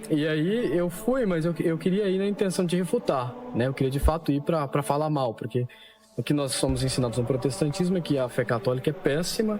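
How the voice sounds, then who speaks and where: A man speaks with very even loudness. Noticeable background noise can be heard. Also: fairly high pitch for a man. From Brazil, São Paulo. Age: 20s. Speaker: convert giving testimony. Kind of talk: testimony.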